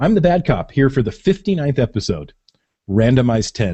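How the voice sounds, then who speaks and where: At a fairly quick pace, a man talks in a somewhat breathy voice with very wide pitch swings. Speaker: podcast co-host. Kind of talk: casual chat.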